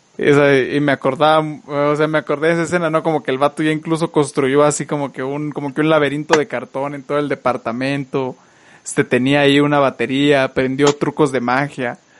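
Talking at a fairly quick pace, a man uses a fairly high pitch. His intonation stays monotone and flat. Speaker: podcast host. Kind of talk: casual chat.

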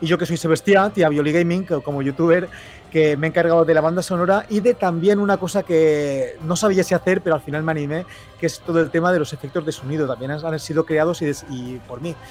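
Noticeable background noise sits behind a man's fairly high voice. His pitch varies in an ordinary way. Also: fairly quick pace. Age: 40s. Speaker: youtuber and video game composer. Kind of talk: casual chat.

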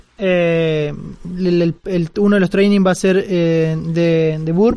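With music in the background, a man speaks in a high voice. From Argentina, Córdoba. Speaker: security community organizer. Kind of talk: interview conversation. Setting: live recording at a security conference.

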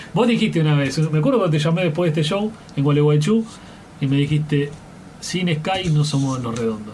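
With audible room echo and noticeable background noise, a man with a fairly high pitch speaks with lively intonation at a fairly quick pace. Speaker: radio host. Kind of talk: interview.

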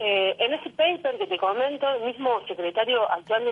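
A woman speaks in an ordinary speaking voice at a moderate pace, fairly high-pitched with lively intonation. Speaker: neighborhood activist. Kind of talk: phone interview. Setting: phone call.

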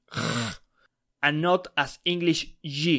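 A man with a Spanish accent and a fairly high pitch against a quiet background. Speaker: Spanish teacher. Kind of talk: tutorial.

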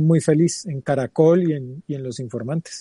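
A man with a fairly high pitch speaks with fairly even intonation and a dark, mellow tone. The recording is dry and close, with no echo. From Colombia, Pereira. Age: 40s. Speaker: TV journalist. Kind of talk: interview.

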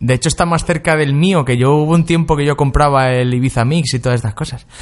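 A man with a fairly high voice and ordinary pitch variation talks at a fairly quick pace. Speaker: radio host. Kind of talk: casual chat. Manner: animated.

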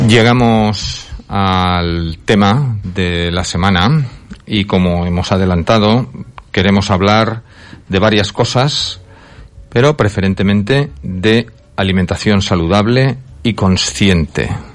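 A man with a fairly low pitch talks at a very slow pace, his loudness very even and his pitch varying in an ordinary way. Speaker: radio host. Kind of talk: radio talk show.

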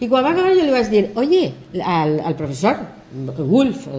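Her pitch makes very wide swings at a fairly slow pace. The woman's tone is dark and mellow. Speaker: English professor and philologist. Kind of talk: TV interview. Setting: TV studio.

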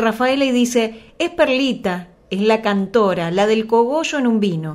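A woman talks at a moderate pace with a fairly high pitch and lively intonation. Hers is a plain, everyday voice. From Argentina, Santa Fe province. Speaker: radio host. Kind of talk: radio interview.

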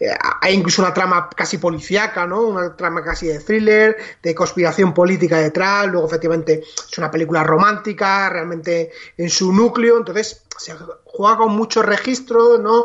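Against noticeable background noise, a man speaks at a moderate pace with a high pitch and ordinary pitch variation. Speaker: film podcast co-host. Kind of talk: casual chat.

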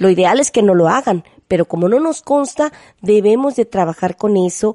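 A woman's dark, mellow tone comes at a moderate pace in a dry, close sound with no echo. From Mexico, Veracruz. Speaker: radio host. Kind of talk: radio interview.

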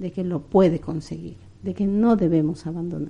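Her tone is dark and mellow as a woman speaks at a fairly low pitch and a fairly slow pace with ordinary pitch variation. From Ecuador, Quito. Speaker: migrant and former university student. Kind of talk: interview.

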